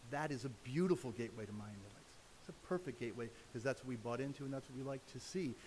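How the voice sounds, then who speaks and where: A man with a medium-pitched voice talks at a very fast pace. His voice is somewhat breathy. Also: ordinary pitch variation, big swings in loudness. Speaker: public commenter at council meeting. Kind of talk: public comment.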